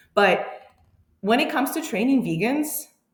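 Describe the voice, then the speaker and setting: A somewhat breathy woman's voice with lively intonation, a moderate pace and audible room echo. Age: 30s. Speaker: powerlifting coach. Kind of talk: interview.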